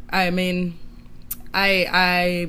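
Bright and sharp in tone, a woman speaks at a medium pitch with a Canadian accent, and audible room echo surrounds her voice. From Canada, Toronto. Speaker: singer-songwriter. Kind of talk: interview.

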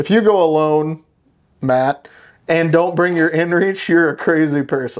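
With a plain, everyday voice, a man talks at a moderate pace and with ordinary pitch variation. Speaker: podcast host, hunter. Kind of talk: casual chat. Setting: studio.

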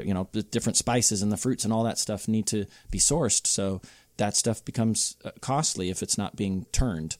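A man with a plain, everyday voice, fairly low pitch, ordinary pitch variation, and a fairly quick pace, in dry, close sound without echo. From Southern California, Inland Empire. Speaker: craft cocktail bartender. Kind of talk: casual chat. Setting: bar.

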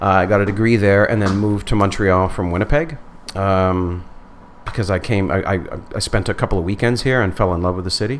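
Noticeable background noise sits behind a man talking at a fairly quick pace. His pitch is fairly low with ordinary variation. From northern Manitoba, Canada. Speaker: stand-up comedian. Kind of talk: casual interview chat. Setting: studio.

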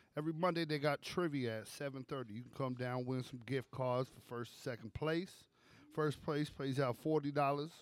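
With an American accent and a normal speaking voice, a man talks at a fairly slow pace and medium pitch, his loudness swinging widely. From Brooklyn, New York. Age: 30s. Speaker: podcast co-host. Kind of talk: sales pitch; casual chat.

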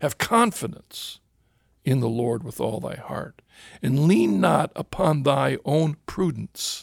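This man's fairly high voice has lively intonation and vocal fry, moving at a very slow pace in a dry, close sound with no echo. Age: 60s. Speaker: radio host. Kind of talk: casual conversation. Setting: studio.

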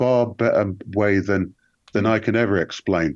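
A man with a plain, everyday voice, fairly low pitch, ordinary pitch variation and a moderate pace, in a dry, close sound with no echo. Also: quiet background. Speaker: guest researcher. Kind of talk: casual chat. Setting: remote call.

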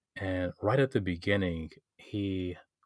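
A man with a Detroit accent speaks at a very deep, low pitch, his intonation fairly even. The recording is very clean and silent behind him, with a dry, close sound and no echo. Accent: Midwestern American (Detroit). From Detroit, Michigan. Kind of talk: casual interview. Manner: hesitant, many fillers.

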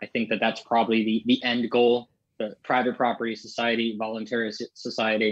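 In an American accent, a man speaks at a medium pitch and a fairly quick pace. His intonation is monotone and flat. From Maryland, US. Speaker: podcast host, libertarian. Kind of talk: casual chat.

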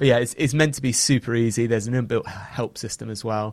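On a very clean recording with a silent background, a man with an English accent talks fairly quickly at medium pitch, his intonation fairly even. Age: 30s. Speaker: founder of an SEO software company. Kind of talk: podcast interview.

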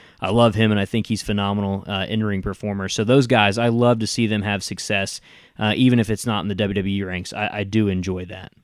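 A Southern US accent, fairly quick in pace, with monotone, flat intonation. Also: man, fairly low pitch for a man. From Tennessee. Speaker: podcast host. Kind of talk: casual interview chat.

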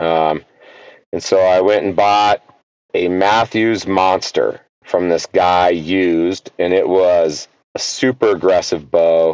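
An ordinary speaking voice from a man with an American accent, fairly low-pitched, with fairly even intonation and a dry, close sound with no echo. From US. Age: 50s. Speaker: archery event organizer and water operator. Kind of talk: casual interview chat.

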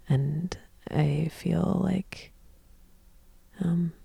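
With an American accent, a woman speaks at a fairly low pitch in a dark, mellow, somewhat breathy tone. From Texas. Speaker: authentic relating teacher and founder. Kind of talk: guided relating exercise; casual interview conversation. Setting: studio in Brooklyn.

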